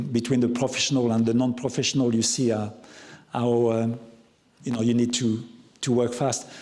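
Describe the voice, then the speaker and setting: Audible room echo surrounds a man speaking with monotone, flat intonation. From France, Loire Valley. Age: 60s. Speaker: chef. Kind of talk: talk Q&A with audience. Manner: halting, many repetitions.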